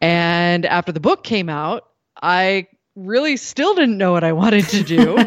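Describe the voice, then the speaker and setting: Using a normal speaking voice, a woman talks at a fairly slow pace and a medium pitch with lively intonation. The sound is dry and close with no echo, over a quiet background. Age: 40s. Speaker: radio journalist. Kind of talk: interview.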